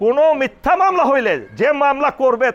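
The man's intonation is lively, and the sound is dry and close with no echo. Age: 60s. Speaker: retired army officer, election candidate. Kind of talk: campaign speech.

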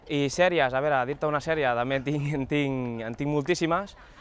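Moderate pace and ordinary pitch variation, in a dry sound with no echo. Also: man. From Catalonia, Molins de Rei; Catalonia. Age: 20s. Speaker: local election candidate; election candidate. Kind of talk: interview answers. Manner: halting, with frequent repetitions. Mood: relaxed, smiling. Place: garden. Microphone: lapel.

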